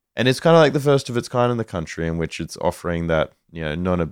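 A man with an Australian accent and ordinary pitch variation, in a very clean recording with a silent background and a dry, close sound with no echo. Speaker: bonsai enthusiast. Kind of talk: casual chat.

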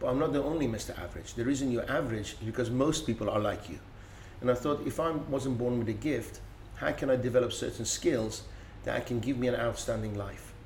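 Spoken at a fairly quick pace with vocal fry, ordinary pitch variation and a Persian accent. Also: man, medium pitch for a man. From Iran. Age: 50s. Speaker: business speaker and consultant. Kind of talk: interview conversation.

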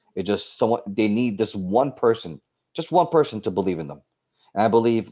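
Here a man with a New York accent speaks at a moderate pace in a dark, mellow tone. The recording is very clean with a silent background. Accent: New York City. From New York City, South Bronx. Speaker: teacher and softball coach. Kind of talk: interview conversation.

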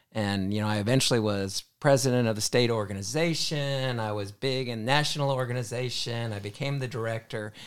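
Over a very clean recording with a silent background, a man talks at a fairly quick pace with hardly any pauses. His medium pitch shows ordinary pitch variation in a plain, everyday voice. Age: 60s. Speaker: hospital pharmacist and mentor. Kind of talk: casual chat.

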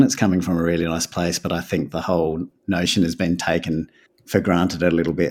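A man speaks at a fairly quick pace with an Australian accent. His pitch is very deep and low. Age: 30s. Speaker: winemaker. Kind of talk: casual chat.

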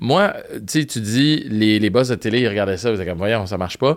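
A man's normal speaking voice at medium pitch, with lively intonation and a moderate pace, on a very clean recording with a silent background. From Montreal, Quebec (Park Extension). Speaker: radio host and podcaster. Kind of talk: casual chat. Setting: studio.

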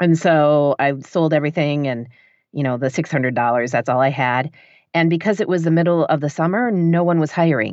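A woman with a Michigan accent speaks at a very deep, low pitch, her loudness very even. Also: ordinary pitch variation, fairly quick pace. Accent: general American, Michigan. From northern Michigan. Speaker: audiobook narrator and writer. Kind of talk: casual interview chat. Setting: home basement studio, remote recording.

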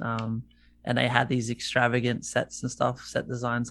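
Here a man speaks with an Australian accent. His pitch is medium and his pace moderate. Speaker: musician guest. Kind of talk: casual chat. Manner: casual, filler-heavy.

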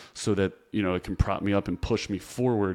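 With an ordinary speaking voice, a man talks fairly quickly at a fairly low pitch in a very clean recording with a silent background. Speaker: podcast host, physical therapist. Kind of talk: casual interview.

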